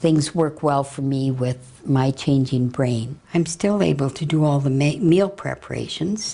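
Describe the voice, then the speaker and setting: With a Canadian accent, a woman speaks using fairly even intonation. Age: 60s. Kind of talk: interview testimony. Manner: halting, with many fillers.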